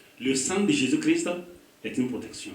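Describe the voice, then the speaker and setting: Against noticeable background noise and audible room echo, a man speaks with an African accent. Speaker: pastor. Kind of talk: sermon. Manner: animated.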